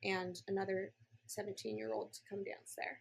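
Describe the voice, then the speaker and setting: At a medium pitch, a woman with an unremarkable speaking voice talks fairly quickly. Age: 30s. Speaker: entrepreneur and marketing mentor. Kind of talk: casual podcast interview. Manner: casual, filler-heavy speech.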